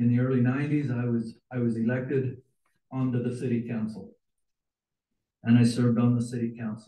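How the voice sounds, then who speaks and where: Speaking with an American accent, a man with a medium-pitched, dark, mellow and somewhat breathy voice goes at a fairly quick pace in a monotone, flat delivery broken by long, frequent pauses. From Utah. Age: 60s. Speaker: city council member. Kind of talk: public comment at council meeting. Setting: council chamber.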